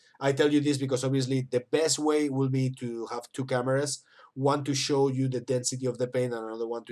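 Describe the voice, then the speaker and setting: At a fairly quick pace, a man speaks with a non-native accent. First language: not English. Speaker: miniature painting teacher. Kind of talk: tutorial. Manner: halting.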